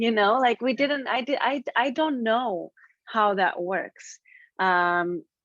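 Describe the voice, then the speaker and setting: A woman with an Israeli accent, fairly high-pitched, lively in intonation, very slow and very even in loudness, in a dry, close sound with no echo. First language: Hebrew. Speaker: author. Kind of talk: interview conversation. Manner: halting.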